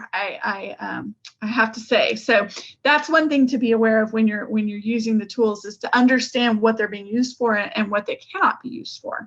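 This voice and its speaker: A woman speaks in a normal speaking voice at a fairly quick pace, with a fairly high pitch. Her pitch variation is ordinary, while her loudness swings widely. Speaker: project manager presenting an engineering study. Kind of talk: technical presentation on video call. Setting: video call.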